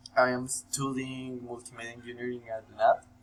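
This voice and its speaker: A man talks at a medium pitch while noticeable background noise is present. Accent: Spanish. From Colombia. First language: Spanish. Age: 18. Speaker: university student. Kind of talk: scripted self-introduction for class. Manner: halting, many fillers.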